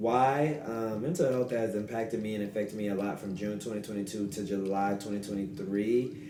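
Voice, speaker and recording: Speaking at a fairly quick pace with hardly any pauses, a man with an American accent uses a fairly low pitch and ordinary pitch variation, with audible room echo and noticeable background noise. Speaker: podcast host. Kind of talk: solo podcast monologue. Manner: fast.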